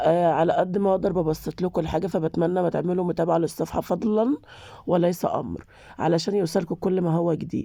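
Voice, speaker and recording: This woman has a fairly low pitch and a dark, mellow tone, speaking at a moderate pace with very even loudness. The recording is very clean, with a silent background. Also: fairly even intonation. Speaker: cooking channel host. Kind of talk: cooking tutorial. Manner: casual, chatty.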